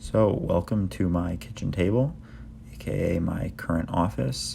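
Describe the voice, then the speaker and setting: A man with an American accent speaks at a fairly slow pace in a very deep, low voice with vocal fry. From Minnesota, Minneapolis. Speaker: lifestyle and fitness vlogger. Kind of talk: vlog narration. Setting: outdoors, backyard; at home, apartment.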